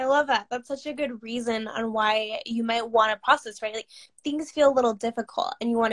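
A woman's intonation stays fairly even. Her background is quiet. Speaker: business coach. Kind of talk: casual interview. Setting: video call. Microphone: webcam.

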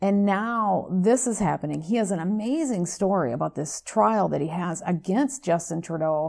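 Here a woman speaks with an American accent at a medium pitch. Her pace is moderate and her intonation lively. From United States. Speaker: radio show host. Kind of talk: interview. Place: studio.

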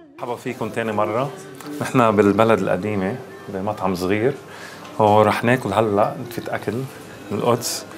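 Fairly even intonation marks a man's fairly low-pitched voice, heard with noticeable background noise. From United States (Florida). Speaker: diplomat. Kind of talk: casual talk to camera.

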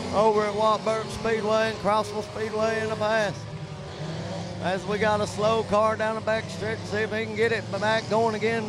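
The recording of a man's voice is dry, with no echo. Background noise is noticeable. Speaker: race commentator. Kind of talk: commentary. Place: stadium.

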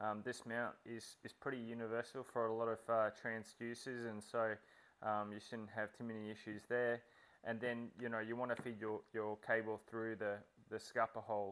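A man speaks with a clear, smooth tone at a fairly low pitch. There is little pitch movement. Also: moderate pace.

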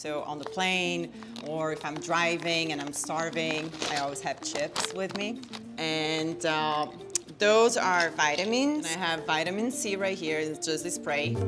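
Clear music plays in the background as a woman speaks. Her pitch is very deep and low, and her pace is fairly slow. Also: ordinary pitch variation. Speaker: guest. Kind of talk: casual interview answer showing bag contents. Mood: relaxed, cheerful, laughing. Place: home room.

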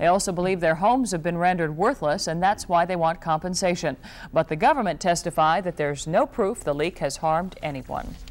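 Recorded very cleanly against a silent background, a woman with a normal speaking voice talks at a fairly quick pace with ordinary pitch variation. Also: fairly low pitch for a woman. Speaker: news anchor. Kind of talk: formal TV newsreading. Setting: TV studio newscast. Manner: formal, measured.

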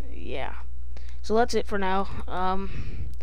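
The sound is dry, with no echo. The pace is fairly slow. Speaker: gaming youtuber. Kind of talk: casual vlog chat.

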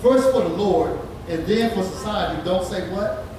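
Noticeable background noise runs under the voice. The room echo is strong. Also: man. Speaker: preacher. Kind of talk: sermon. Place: church.

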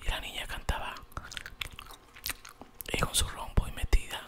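A man whispers, taking his words rather slowly. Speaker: ASMR storyteller. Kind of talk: fairy tale narration. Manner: soft, whispered, relaxing. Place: home room. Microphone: studio mic.

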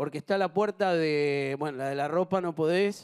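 A man's fairly high voice at a fairly slow pace, with ordinary pitch variation against a quiet background. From Argentina. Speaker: TV game show host. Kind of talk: live TV game show hosting. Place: studio. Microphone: handheld.

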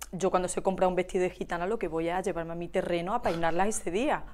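On a very clean recording with a silent background, a woman with a medium pitch talks at a very fast pace. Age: 40s. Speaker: hairdresser and shop owner. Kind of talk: casual interview chat.

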